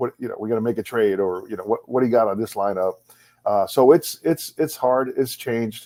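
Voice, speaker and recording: A man speaks very fast in a fairly low, dark and mellow voice, recorded dry and close with no echo. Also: very clean recording, silent background. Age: 60s. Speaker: baseball coach and former manager. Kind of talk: casual interview. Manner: halting, many repeated words.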